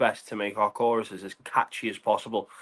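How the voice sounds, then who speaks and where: In a Liverpool accent, a man speaks at a fairly quick pace. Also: quiet background. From England, Liverpool. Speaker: pop punk lead singer. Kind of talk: casual interview.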